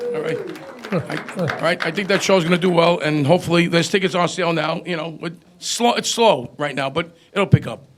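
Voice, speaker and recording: Noticeable background noise behind a high-pitched man speaking at a fairly quick pace with ordinary pitch variation. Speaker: concert promoter. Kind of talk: casual chat. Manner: fast.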